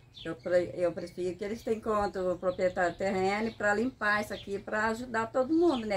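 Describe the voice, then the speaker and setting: A woman talks very fast at a medium pitch, with ordinary pitch variation. Light background noise can be heard. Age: old. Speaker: local resident; interviewee. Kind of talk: street interview. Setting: outdoors, on the street by an overgrown lot. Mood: concerned, complaining. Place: street. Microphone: phone near.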